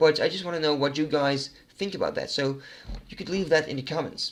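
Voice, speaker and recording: A man with a Dutch accent speaks at a very fast pace and a fairly high pitch, with ordinary pitch variation. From Netherlands. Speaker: gaming YouTuber. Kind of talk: casual Q&A monologue. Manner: hesitant, many fillers.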